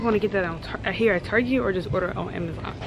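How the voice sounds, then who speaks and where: A woman talks while noticeable noise fills the background. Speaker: college student vlogger. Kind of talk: casual vlog chat. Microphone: phone near.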